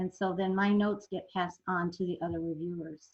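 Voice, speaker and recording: A woman's somewhat breathy voice at medium pitch, moderate pace and fairly even intonation. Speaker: zoo conservation fund manager presenting. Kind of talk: webinar presentation.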